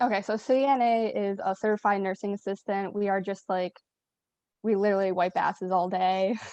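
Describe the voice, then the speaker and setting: A woman's dark, mellow voice at medium pitch, fairly quick pace and fairly even intonation, in a dry, close sound with no echo and a quiet background. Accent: Western New York. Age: 20s. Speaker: nursing assistant. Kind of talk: casual chat.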